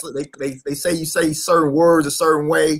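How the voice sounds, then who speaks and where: A high-pitched man speaks in a Mississippi accent. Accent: Mississippi country. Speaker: radio host. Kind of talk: casual chat. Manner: fast.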